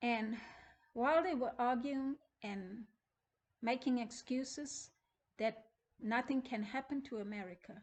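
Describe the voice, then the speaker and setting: The speaker leaves long, frequent pauses and shows ordinary pitch variation. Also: woman, high pitch for a woman, fairly slow pace. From South Africa. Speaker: preacher. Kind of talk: testimony.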